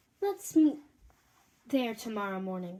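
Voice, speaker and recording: A female-sounding put-on character voice, fairly high in pitch, moves at a moderate pace. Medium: read story. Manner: brisk, self-assured.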